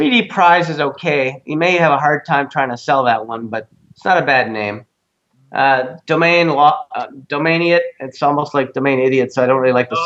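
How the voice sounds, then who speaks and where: A man with a Canadian accent speaks in a normal speaking voice with ordinary pitch variation. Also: fairly high pitch for a man, moderate pace. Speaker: domain investor reviewing domain names. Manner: casual, conversational.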